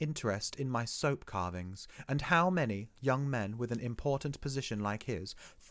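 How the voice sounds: Just a natural reading voice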